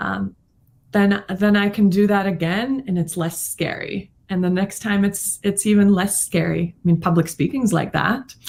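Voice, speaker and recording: Somewhat breathy woman at a moderate pace, medium pitch, fairly even intonation. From Latvia. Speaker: financial professional. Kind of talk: podcast interview.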